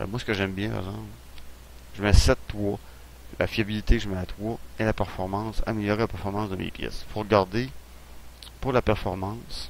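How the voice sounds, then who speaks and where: A man's fairly low-pitched voice at a fairly quick pace, fairly even in intonation, with long, frequent pauses and big swings in loudness. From Quebec. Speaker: gaming YouTuber. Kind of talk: let's play commentary. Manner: hesitant, many fillers.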